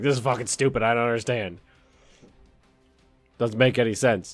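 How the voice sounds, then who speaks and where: A raspy, put-on character voice moves at a moderate pace with fairly even intonation while faint music plays in the background. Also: man, medium pitch for a man. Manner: mocking, dumb voice.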